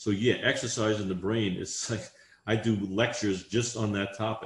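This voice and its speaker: A man with a fairly low pitch speaks at a moderate pace, somewhat breathy, in a monotone, flat intonation. Audible room echo surrounds his voice. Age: 60s. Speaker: exercise scientist; guest. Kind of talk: interview answer. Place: home room. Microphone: video call.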